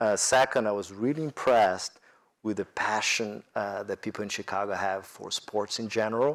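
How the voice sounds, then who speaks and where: With a Brazilian accent, a man speaks at a fairly low pitch with fairly even intonation on a very clean recording with a silent background. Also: moderate pace. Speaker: corporate executive on business panel. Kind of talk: panel discussion. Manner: halting, many fillers.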